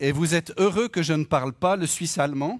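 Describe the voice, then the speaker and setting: Recorded very cleanly against a silent background, a man with a Swiss accent speaks at a moderate pace with ordinary pitch variation. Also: dry, close sound with no echo. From French-speaking Switzerland. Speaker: lay preacher and economist. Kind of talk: sermon. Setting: church.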